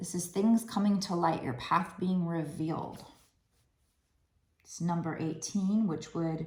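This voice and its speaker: Somewhat breathy, a woman talks at a fairly slow pace and fairly low pitch with ordinary variation, with audible room echo. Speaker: tarot card reader. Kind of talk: tarot reading to camera. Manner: animated; conversational.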